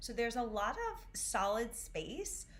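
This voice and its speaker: There is audible room echo as a woman talks in an American accent. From US Northeast, Syracuse, New York. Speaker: vocal coach. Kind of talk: online voice lesson. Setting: livestream.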